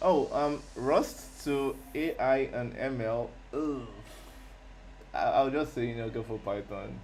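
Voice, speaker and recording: A man talks at a very slow pace, with room echo clearly audible. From Nigeria. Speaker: software developer streamer. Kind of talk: live coding stream chat. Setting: live stream. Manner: halting, many repetitions and fillers.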